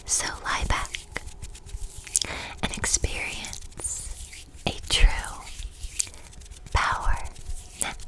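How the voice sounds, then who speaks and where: Someone whispers in a relaxed tone at a very slow pace, with long, frequent pauses over noticeable background noise. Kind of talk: soft-spoken ASMR Bible reading and trigger demonstration. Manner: soft-spoken, relaxed.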